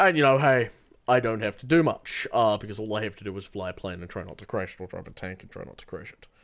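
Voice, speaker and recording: Speaking very fast with a British accent, a man uses a fairly low pitch with ordinary variation and big swings in loudness. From Britain. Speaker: gaming streamer. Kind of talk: casual chat. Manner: halting, many fillers.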